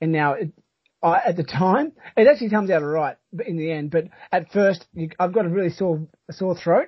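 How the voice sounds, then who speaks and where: A man in an Australian accent talks at a fairly quick pace, his pitch varying in an ordinary way. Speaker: trail running podcast host. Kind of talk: casual chat.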